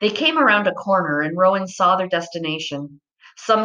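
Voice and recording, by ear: Someone is reading aloud in a natural voice with ordinary pitch variation against a quiet background.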